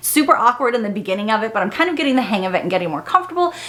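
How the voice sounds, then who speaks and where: Amid noticeable background noise, a woman speaks with lively intonation. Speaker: beauty vlogger. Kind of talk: casual tutorial vlog. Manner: fast.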